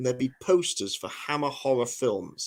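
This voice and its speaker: A man with a Norfolk accent talks at a moderate pace. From England, Norfolk. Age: 50s. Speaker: historian and author. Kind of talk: podcast interview. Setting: live podcast. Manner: animated.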